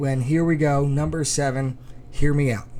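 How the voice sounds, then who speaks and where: A man mumbles at a moderate pace in a fairly high, monotone, flat voice. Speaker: high school cross country podcast host. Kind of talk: sports podcast commentary. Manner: mumbling.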